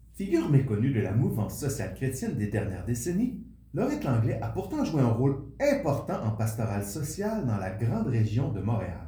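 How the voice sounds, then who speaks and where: A man's medium-pitched voice at a moderate pace, lively in intonation, with audible room echo. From Quebec. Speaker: podcast host. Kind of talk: interview; scripted narration.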